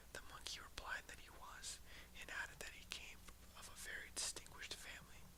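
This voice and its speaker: Whispering beneath noticeable background noise. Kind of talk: read story. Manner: whispered.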